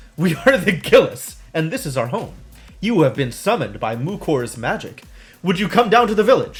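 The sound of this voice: Putting on a gravelly character voice, a man speaks at a moderate pace with a high pitch and very wide pitch swings, faint music playing in the background.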